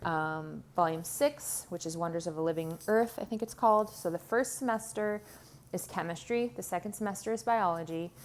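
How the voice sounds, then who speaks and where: This woman has an unremarkable speaking voice, fairly low in pitch, with lively intonation at a moderate pace. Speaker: homeschooling parent. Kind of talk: curriculum show-and-tell video. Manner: casual with many filler ums.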